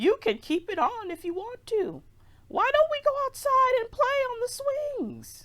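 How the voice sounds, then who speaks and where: A squeaky, put-on character voice is raised and projected. It moves at a moderate pace. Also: woman, extremely high pitch for a woman, lively intonation. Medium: read story. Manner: warm, fussing, old-fashioned.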